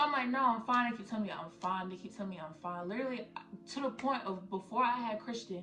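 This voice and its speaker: With music in the background and audible room echo, a woman speaks very fast at a fairly high pitch, showing ordinary pitch variation and big swings in loudness. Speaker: YouTuber, new mother. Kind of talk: casual Q&A vlog.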